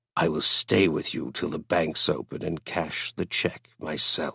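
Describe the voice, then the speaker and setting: Putting on a character voice, a man speaks at a moderate pace with a dry, close sound and no echo. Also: very deep, low pitch for a man. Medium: read story. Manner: cold, sneering.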